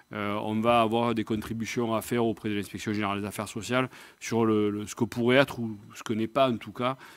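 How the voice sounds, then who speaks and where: A fairly quick, monotone, flat delivery in a Marseille accent. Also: man. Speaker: nursing professional body president. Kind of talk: round-table discussion. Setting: live video stream.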